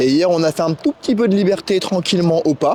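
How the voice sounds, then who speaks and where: Noticeable background noise sits behind a man speaking at a moderate pace. His voice is high and his intonation lively. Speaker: horse trainer. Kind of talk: outdoor tutorial vlog.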